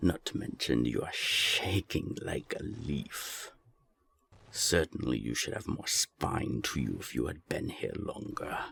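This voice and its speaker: In a put-on character voice, a man speaks fairly slowly with a very deep, low pitch. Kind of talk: audio drama. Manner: threatening, cold.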